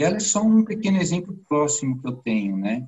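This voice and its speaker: A somewhat breathy man talking fairly quickly, with very wide pitch swings. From São Paulo, Brazil. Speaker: IT professional, course student. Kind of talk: interview.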